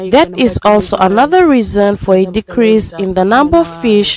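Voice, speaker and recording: With music in the background and a dry, close sound with no echo, a woman speaks at a moderate pace. Her pitch is medium and her intonation lively. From Fiji. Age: 70s. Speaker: local villager. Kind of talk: testimony.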